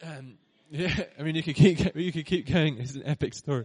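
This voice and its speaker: Speaking with a British accent, this man uses ordinary pitch variation. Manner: hesitant, repeats words.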